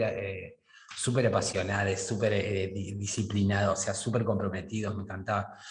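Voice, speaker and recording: A man speaks with a Rioplatense accent at a moderate pace. His fairly low voice stays monotone and flat. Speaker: podcast host. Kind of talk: casual interview chat.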